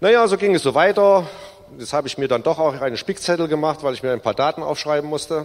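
Speaking at a very fast pace, a man talks in a fairly high voice. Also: ordinary pitch variation. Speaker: recovered alcoholic giving testimony. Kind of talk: testimony. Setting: church service.

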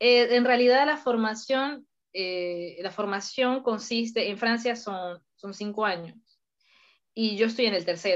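Speaking at a fairly slow pace, a woman with an unremarkable speaking voice has a fairly high pitch and ordinary pitch variation. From Venezuela, Mérida. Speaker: engineering student, civil engineer. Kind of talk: interview.

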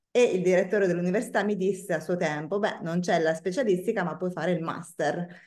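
A woman with a northern Italian accent, fairly even intonation, a very fast pace and hardly any pauses. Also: medium pitch for a woman. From northern Italy, Bergamo. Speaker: wine sales expert. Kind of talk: interview.

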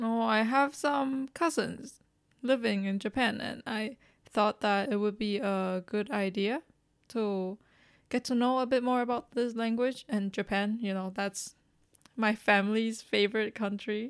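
In a Chinese accent, a woman speaks at a fairly slow pace with a fairly high pitch and fairly even intonation. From Taiwan. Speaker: podcast co-host. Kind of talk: casual chat.

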